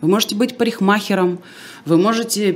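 Over noticeable background noise, a woman speaks in an animated tone. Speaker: speech coach and radio presenter. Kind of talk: casual interview. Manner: animated, articulate.

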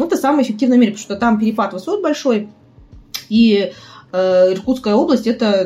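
A woman speaks very fast at a fairly high pitch. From Buryatia, Ulan-Ude. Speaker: tour guide. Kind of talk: casual chat. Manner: animated.

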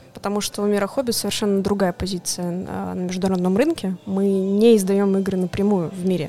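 A woman speaks with an ordinary speaking voice at medium pitch and a fairly quick pace. Her intonation stays fairly even, and she hardly pauses at all. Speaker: board game publisher's international projects manager. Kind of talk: casual chat. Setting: coffee shop.

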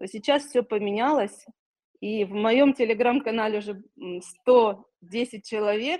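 A woman with a fairly high pitch speaks at a very slow pace with long, frequent pauses. Her loudness swings widely, while her pitch varies in an ordinary way. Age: 40s. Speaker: cancer survivor and psychology course graduate. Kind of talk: testimony. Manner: halting.

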